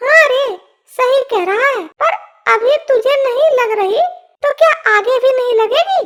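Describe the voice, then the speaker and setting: In a cartoonish character voice that sounds female, the pitch sits extremely high for a woman and the pace is moderate. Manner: warm, wry.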